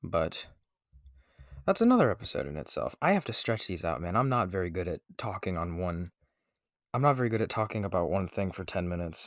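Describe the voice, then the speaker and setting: In a very clean recording with a silent background, a man talks at a fairly quick pace in a fairly low voice with ordinary pitch variation. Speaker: podcast host. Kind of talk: unscripted solo podcast monologue. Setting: makeshift home recording room. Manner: hesitant, many fillers.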